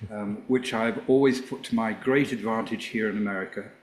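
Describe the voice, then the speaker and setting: This is a man speaking. He has an English accent. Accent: English accent, kept. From England. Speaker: former rock band manager, author. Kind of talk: interview.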